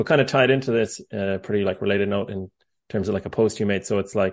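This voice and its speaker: Fairly low, monotone, flat voice of a man in an Irish accent against a quiet background. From Ireland. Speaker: podcast host. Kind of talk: interview. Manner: halting, many fillers.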